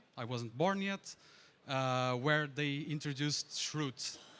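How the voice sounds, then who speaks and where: A man talks with a Portuguese accent. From Portugal. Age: 30s. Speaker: conference speaker, DevOps engineer. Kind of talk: tech conference talk. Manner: hesitant, many fillers.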